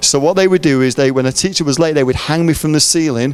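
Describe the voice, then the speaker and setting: Ordinary pitch variation marks this man's speech in an English accent. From England. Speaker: preacher. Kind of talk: sermon. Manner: mumbling; halting.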